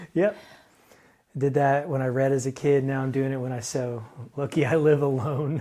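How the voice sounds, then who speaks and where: This man has a dark, mellow tone at a medium pitch, with fairly even intonation broken by long, frequent pauses. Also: moderate pace. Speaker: husband learning to sew. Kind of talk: casual chat. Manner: quiet, almost whispering when concentrating. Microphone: volume turned up because he speaks quietly.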